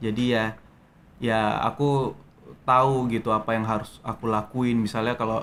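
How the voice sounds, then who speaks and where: The man's pitch is medium and his intonation is flat and monotone. He speaks at a moderate pace. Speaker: actor. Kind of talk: interview. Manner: hesitant, many fillers.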